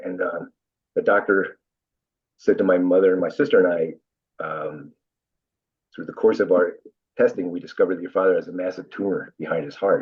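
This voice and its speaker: A man talks at a fairly quick pace. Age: 60s. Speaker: podcast guest, single father. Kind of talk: interview, personal story.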